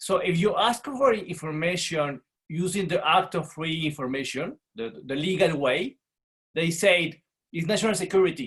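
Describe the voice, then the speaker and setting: At a moderate pace, a man with a Spanish accent speaks at a high pitch with lively intonation. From Mexico. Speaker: journalist. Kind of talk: panel discussion.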